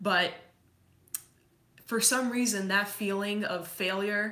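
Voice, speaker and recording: A woman speaks fairly slowly, her voice carrying audible room echo. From Montreal, Quebec, then Massachusetts from age 8. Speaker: fitness coach. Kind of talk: personal storytelling.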